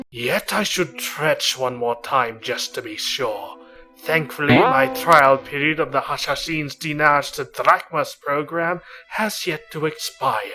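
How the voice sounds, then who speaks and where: With faint music in the background, a man uses a put-on character voice at fairly high pitch and a fairly slow pace. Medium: fan dub.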